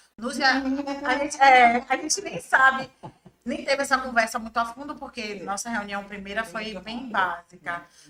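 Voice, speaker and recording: With a Bahian accent, a woman talks at a moderate pace in a high pitch, her pitch varying in an ordinary way and her loudness swinging widely. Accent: Bahian Brazilian Portuguese. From Bahia, Brazil (raised in Salvador). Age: 30s. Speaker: journalist and press officer. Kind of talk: podcast interview.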